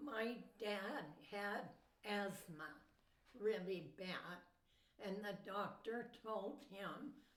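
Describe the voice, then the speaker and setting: A woman speaks very slowly with an American accent, at a medium pitch with ordinary pitch variation. Audible room echo surrounds her voice. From Southern California (Mojave Desert). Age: 80s+. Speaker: grandmother telling life story. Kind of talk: life story interview. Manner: brief answers.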